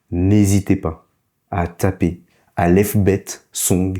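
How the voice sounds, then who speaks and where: On a very clean recording with a silent background, a man speaks in a very deep, low pitch with a dark, mellow tone. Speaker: language teacher. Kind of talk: tutorial. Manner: slow, didactic.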